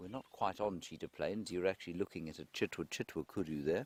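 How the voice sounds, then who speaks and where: The voice is quiet and moves at a moderate pace. The sound is dry and close, with no echo. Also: man. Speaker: safari guide. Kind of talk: live commentary. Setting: outdoors.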